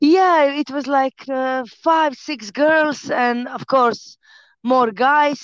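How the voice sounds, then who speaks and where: A woman with a Croatian accent speaks very slowly in a high voice with ordinary pitch variation. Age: 30s. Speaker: fighter and personal trainer. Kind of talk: casual interview.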